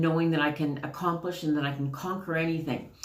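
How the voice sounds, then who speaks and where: A woman with a Canadian accent speaks in a very deep, low pitch with fairly even intonation, and the room echo is audible. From Canada. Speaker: spiritual card reader. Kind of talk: casual spiritual talk to camera. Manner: chatty, many fillers.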